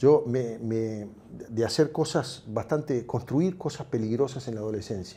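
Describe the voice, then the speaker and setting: A man with a Uruguayan accent speaks at a medium pitch with ordinary pitch variation and a dark, mellow tone. His delivery is fairly slow and somewhat breathy. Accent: Uruguayan Rioplatense Spanish. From Uruguay, Montevideo. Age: 60s. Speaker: tech entrepreneur. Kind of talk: interview. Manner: halting.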